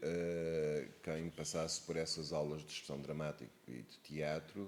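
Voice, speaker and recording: The speaker is a man. He has an Algarve accent. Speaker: actor and theatre director. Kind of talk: interview answer.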